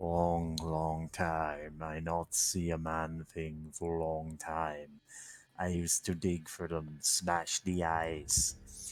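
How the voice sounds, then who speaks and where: A man puts on a character voice that is growling and guttural, very deep and low in pitch, very slow, and monotone and flat, on a very clean recording with a silent background. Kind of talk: broken, simple speech.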